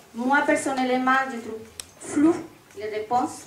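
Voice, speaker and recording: A high-pitched woman with a Spanish accent, audible room echo around her. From Colombia. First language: Spanish (speaking French). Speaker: parent association member, audience member. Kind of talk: public Q&A question. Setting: public meeting hall with audience, wireless mic.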